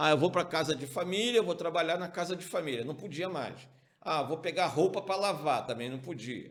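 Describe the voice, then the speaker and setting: A man with a fairly high voice speaks at a moderate pace in an animated tone. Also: ordinary pitch variation. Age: 60s. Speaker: pastor, Sunday school teacher. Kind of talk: Bible study lesson.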